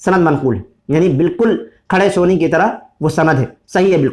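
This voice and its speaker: A man's high-pitched voice at a fairly slow pace. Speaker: Islamic scholar. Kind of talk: religious lecture. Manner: halting.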